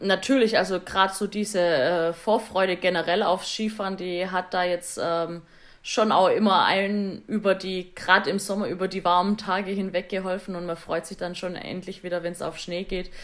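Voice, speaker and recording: A woman speaks in a monotone, with flat intonation. Her pace is moderate. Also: medium pitch for a woman. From Swabia, southern Germany. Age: 30s. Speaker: Paralympic alpine skier. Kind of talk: interview. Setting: remote call.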